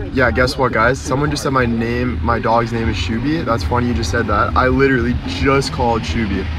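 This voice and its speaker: A man's lively intonation at a fairly quick pace, over noticeable background noise. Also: dry sound with no echo. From Ontario, Canada. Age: 20s. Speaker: social media personality. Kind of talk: livestream chat. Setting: in a car. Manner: animated. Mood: upbeat, grateful. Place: car. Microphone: phone near.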